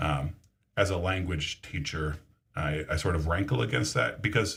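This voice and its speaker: A man with a very deep, low pitch, vocal fry, a moderate pace and ordinary pitch variation. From Brazil. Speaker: language teacher. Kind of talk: casual chat. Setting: livestream. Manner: halting.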